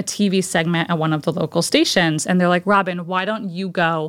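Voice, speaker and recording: With an American accent, a woman uses a normal speaking voice at medium pitch and a moderate pace, her pitch varying in an ordinary way on a very clean recording with a silent background. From Connecticut. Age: 30s. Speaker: PR agency founder. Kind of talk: casual interview.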